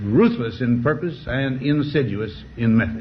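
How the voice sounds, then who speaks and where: Somewhat breathy and medium in pitch, a man speaks at a fairly slow pace. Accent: American. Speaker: former US president giving a farewell address. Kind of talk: formal televised presidential address.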